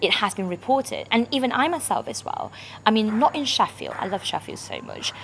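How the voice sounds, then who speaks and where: A woman's high voice with lively intonation moves at a fairly quick pace over noticeable background noise. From Malaysia. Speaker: international student campaigner. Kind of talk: personal talk to camera. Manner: halting, with frequent fillers.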